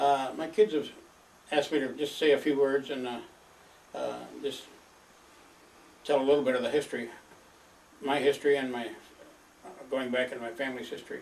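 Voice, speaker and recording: A man speaks at a moderate pace with a Midwestern American accent. His pitch is fairly high. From northern Michigan. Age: 80s+. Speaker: elderly father recording family history. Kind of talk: oral history monologue. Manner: halting, many filler words.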